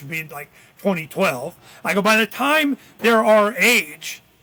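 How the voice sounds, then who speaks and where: Raised and projected, a man's high voice comes across bright and sharp with lively intonation. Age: 60s. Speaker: political activist. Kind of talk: podcast interview. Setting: podcast. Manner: casual, animated.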